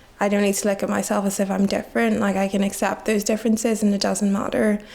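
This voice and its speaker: Speaking very fast in a flat monotone, a woman with a medium-pitched voice keeps her loudness very even against noticeable background noise. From Nigeria, moved to Belfast at 9. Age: young. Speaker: student. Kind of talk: interview.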